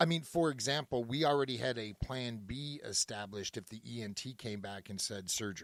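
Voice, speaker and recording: Speaking fairly quickly, a man uses an ordinary speaking voice at medium pitch with ordinary pitch variation. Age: 50s. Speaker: podcast co-host, former 911 dispatcher. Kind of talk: casual podcast chat.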